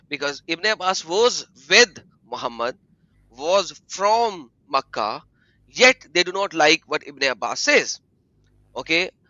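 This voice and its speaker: Speaking at a very slow pace with long, frequent pauses, a man with a high pitch lets his voice make very wide pitch swings. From Egypt. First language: Arabic. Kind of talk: livestream discussion. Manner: halting, repeating words.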